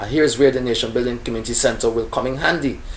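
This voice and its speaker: There is noticeable background noise. A man speaks with a Guyanese accent. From Guyana. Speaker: local election candidate. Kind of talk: interview answer.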